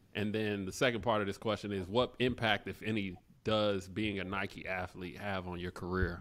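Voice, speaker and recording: A man speaks with a fairly low pitch at a moderate pace. His intonation stays fairly even. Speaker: podcast co-host, former basketball player; podcast co-host. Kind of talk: casual chat. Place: home room. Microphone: studio mic.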